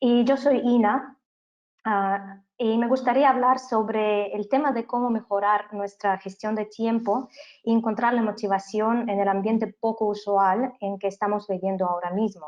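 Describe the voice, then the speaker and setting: A woman with a non-native accent at a fairly slow pace. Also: fairly high pitch for a woman, fairly even intonation. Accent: foreign accent in Spanish. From Canada. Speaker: business trainer. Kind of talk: webinar lecture. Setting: online webinar.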